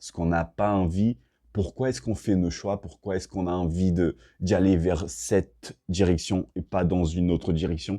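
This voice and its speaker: A man talks at a moderate pace with a very deep, low pitch and fairly even intonation, in a dark, mellow tone. The sound is dry and close with no echo, over a quiet background. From Brazil. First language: Portuguese (speaking French). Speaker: self-improvement and fitness vlogger. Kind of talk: casual vlog talk to camera. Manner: hesitant, many fillers and restarts.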